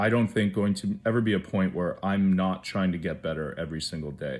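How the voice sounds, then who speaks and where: A man speaks with a Canadian accent. His pitch is fairly low, with ordinary variation. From Canada, small town. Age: 30s. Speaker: award recipient, brain injury advocate. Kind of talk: acceptance speech. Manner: hesitant, many fillers.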